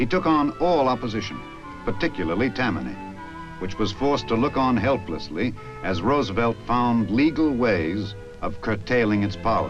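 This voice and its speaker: Over background music, a man talks at a moderate pace with lively intonation. His pitch sits in the middle range. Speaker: narrator. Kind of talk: documentary narration.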